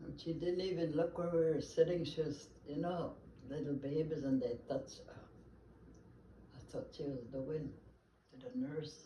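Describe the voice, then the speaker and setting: Noticeable background noise sits behind a woman with a very deep, low pitch. She speaks at a moderate pace with ordinary pitch variation. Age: 80s+. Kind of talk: casual family conversation.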